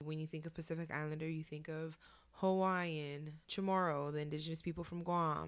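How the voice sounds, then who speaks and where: The speaker has a West Coast accent. The delivery is fairly quick and monotone, with flat intonation. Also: woman. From Oakland, California. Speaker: podcast co-host, social worker. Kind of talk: casual chat.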